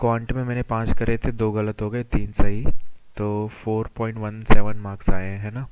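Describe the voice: A man's fairly low voice with a clear, smooth tone and little pitch movement, at a moderate pace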